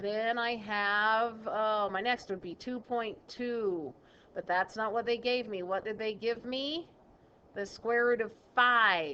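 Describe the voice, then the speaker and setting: A woman talks at a very slow pace. Her pitch is fairly high, with ordinary variation. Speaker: math teacher. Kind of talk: recorded classroom lesson. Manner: casual.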